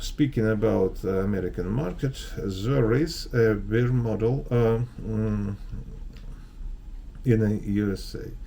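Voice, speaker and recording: A man speaks with a Russian accent. His pace is very slow. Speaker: investment advisor. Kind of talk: market analysis video. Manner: halting, many fillers.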